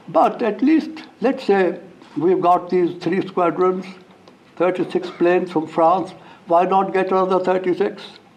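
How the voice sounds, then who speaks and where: A man's high-pitched voice at a fairly slow pace, very even in loudness, with audible room echo. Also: ordinary pitch variation. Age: 90s. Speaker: former diplomat. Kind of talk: formal speech. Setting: stage with audience. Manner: halting.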